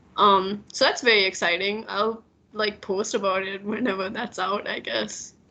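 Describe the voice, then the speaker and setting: A woman speaks in a monotone with flat intonation. Noticeable background noise runs behind her. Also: medium pitch for a woman, moderate pace. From Maldives. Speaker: illustrator. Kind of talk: casual chat.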